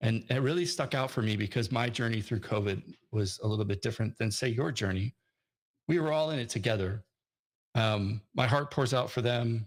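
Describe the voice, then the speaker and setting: The voice is somewhat breathy, with very even loudness, a fairly quick pace and ordinary pitch variation, in a very clean recording with a silent background. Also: man, medium pitch for a man. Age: 40s. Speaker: conference speaker, software developer. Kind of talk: conference talk. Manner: hesitant, many fillers.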